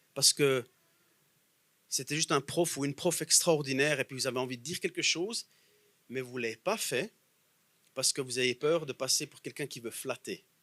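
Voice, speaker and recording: In a Bernese Jura accent, a man with a fairly high pitch and a bright, sharp tone talks at a fairly quick pace with ordinary pitch variation, long, frequent pauses and big swings in loudness, in a dry, close sound with no echo. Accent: Bernese Jura Swiss French. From Bernese Jura, Switzerland. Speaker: guest preacher. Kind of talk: sermon.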